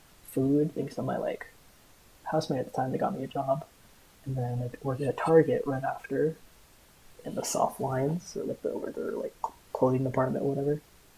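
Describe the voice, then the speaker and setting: A fairly quick voice with an American accent amid noticeable background noise. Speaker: food service worker and vlogger. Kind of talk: casual commentary monologue. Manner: soft-spoken; halting, filler-heavy. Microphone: cheap hobby mic with buzzing.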